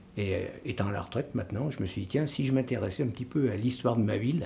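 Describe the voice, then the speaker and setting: Ordinary pitch variation runs through a somewhat breathy voice with a dark, mellow tone. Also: man. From France, Vienne (Isère). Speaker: retired local historian and author. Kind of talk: interview. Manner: hesitant, many filler sounds.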